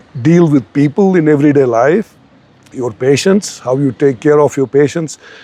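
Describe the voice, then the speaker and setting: A man's voice with noticeable background noise. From Kashmir. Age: 60s. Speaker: doctor. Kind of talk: interview. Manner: repetitive, self-correcting.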